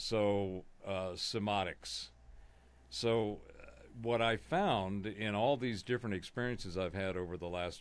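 With a normal speaking voice and an American accent, a man talks at a fairly slow pace in a fairly low pitch with ordinary pitch variation. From Southern California. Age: 60s. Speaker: conspiracy analyst, musician. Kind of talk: casual interview.

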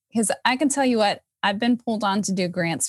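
Speaking at a fairly quick pace with lively intonation, a woman has a normal speaking voice, captured dry and close with no echo. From moved all over the US. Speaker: music educator and arts administrator. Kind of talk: casual interview.

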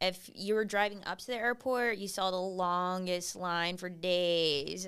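A woman with an American accent, a normal speaking voice and medium pitch, on a very clean recording with a silent background. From South Texas, Kingsville near Corpus Christi. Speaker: real estate agent. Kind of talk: casual interview chat.

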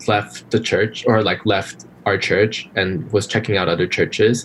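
An unremarkable speaking voice from a man, fairly low-pitched, at a moderate pace with ordinary pitch variation. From Los Angeles area, California (born in Korea). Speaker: podcast guest, former co-host. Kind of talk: casual interview chat.

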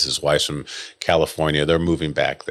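A man's very deep, low voice carries a bright, sharp tone. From western New York (Rochester). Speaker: orthopedic surgeon. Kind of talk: casual interview.

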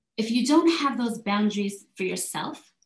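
A woman's somewhat breathy voice, fairly high in pitch, with lively intonation and a moderate pace. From South Korea. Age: 40s. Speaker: life and health coach. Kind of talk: interview.

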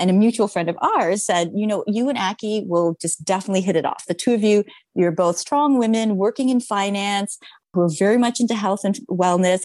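Against a quiet background, a woman with an unremarkable speaking voice talks at a medium pitch in a Canadian accent with ordinary pitch variation. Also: fairly quick pace. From Canada. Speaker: food startup co-founder. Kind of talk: interview conversation.

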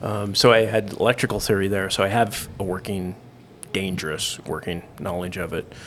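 A man's normal speaking voice with an American accent, fairly low in pitch, fairly even in intonation, at a moderate pace. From Idaho, US. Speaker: chef and LED business owner. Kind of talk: casual chat.

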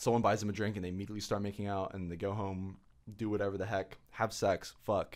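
Very fast speech in a monotone, flat intonation. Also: man, fairly low pitch for a man. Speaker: college student podcast co-host. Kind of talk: casual chat.

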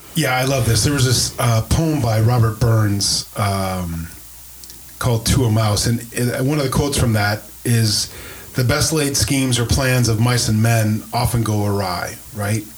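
With noticeable background noise behind him, a man speaks in an American accent with ordinary pitch variation. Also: medium pitch for a man. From US Midwest, Wisconsin (Green Bay). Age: 50s. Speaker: pastor, podcast host. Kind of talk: casual chat. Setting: church.

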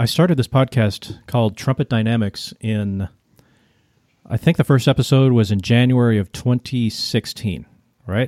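This is a man with an American accent and an ordinary speaking voice, medium in pitch, at a moderate pace. The sound is dry and close, with no echo. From United States. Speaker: podcast host and media producer. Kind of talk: casual chat.

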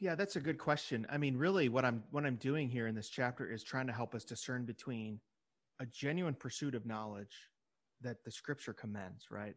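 A man with an ordinary speaking voice, medium pitch, ordinary pitch variation, moderate pace, and a quiet background. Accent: American. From US Midwest (Illinois). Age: 40s. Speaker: religious broadcasting executive and author. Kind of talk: interview.

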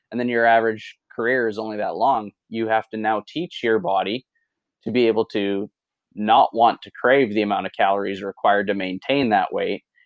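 In a Canadian accent, a man talks in a normal speaking voice at medium pitch, moderate pace and fairly even intonation. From Saskatchewan, Canada. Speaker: fitness coach. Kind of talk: casual interview.

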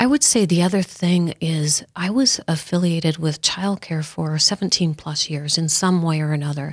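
Hardly any pauses break up this woman's speech, which has ordinary pitch variation. Hers is an ordinary speaking voice, fairly low in pitch. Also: moderate pace, very clean recording, silent background. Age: 60s. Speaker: mother and grandmother. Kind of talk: casual chat.

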